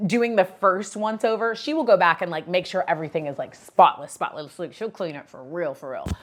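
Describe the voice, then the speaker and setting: An animated voice with an American accent comes over a quiet background. The pace is very fast, with ordinary pitch variation. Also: woman. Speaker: podcast host. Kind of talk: casual chat storytelling. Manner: loud.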